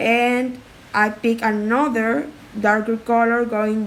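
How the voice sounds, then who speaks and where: The speaker has a non-native accent, with noticeable background noise behind the voice. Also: woman. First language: not English. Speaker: art tutorial creator. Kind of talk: tutorial. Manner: halting.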